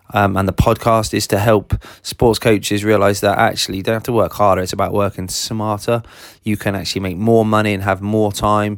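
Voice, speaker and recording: A man talks at a fairly quick pace, his pitch fairly low, in a southern English accent. His intonation stays flat and monotone on a very clean recording with a silent background. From southern England. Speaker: sports business coach, podcast host. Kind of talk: solo podcast monologue.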